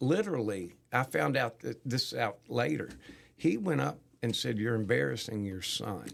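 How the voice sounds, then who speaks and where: With vocal fry and very wide pitch swings, a man speaks. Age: 60s. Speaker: concert producer. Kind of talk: casual chat.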